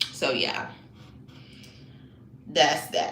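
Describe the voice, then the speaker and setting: The speech moves at a fairly slow pace against noticeable background noise and audible room echo. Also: woman. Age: 20s. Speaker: livestreamer. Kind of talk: casual chat.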